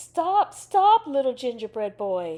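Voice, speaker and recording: A woman performs a put-on character voice with a high pitch. She moves at a fairly slow pace with very wide pitch swings. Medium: read story.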